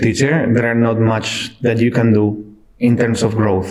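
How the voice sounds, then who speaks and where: A man speaks at medium pitch and a fairly slow pace, with audible room echo. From Spain, Cartagena (southeast). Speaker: IT delivery manager, former music teacher. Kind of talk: podcast interview. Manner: halting.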